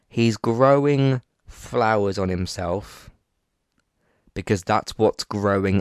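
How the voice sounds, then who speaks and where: A man speaks at a fairly slow pace with ordinary pitch variation, his voice dry and close with no echo against a quiet background. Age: 20s. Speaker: podcast host, film reviewer. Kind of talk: solo film review monologue. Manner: halting, many fillers and restarts.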